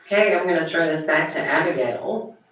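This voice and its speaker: A woman's very deep, low voice in an American accent, fairly quick, with audible room echo. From US Deep South. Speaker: communications lecturer and panel moderator. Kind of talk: panel discussion.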